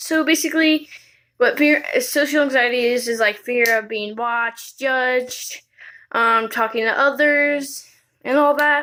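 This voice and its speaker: Raised and projected, a woman's high-pitched voice carries a bright, sharp tone at a fairly slow pace. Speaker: video blogger. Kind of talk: personal vlog monologue. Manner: halting.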